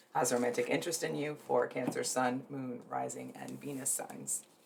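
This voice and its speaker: The speaker keeps a moderate pace. Noticeable background noise runs through the clip. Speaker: tarot reader. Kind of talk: tarot reading. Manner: casual, hesitant with fillers.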